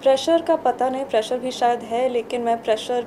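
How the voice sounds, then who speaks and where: A woman talks at a fairly slow pace, with light background noise behind her. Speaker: film actor at press event. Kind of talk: interview answer. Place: hall.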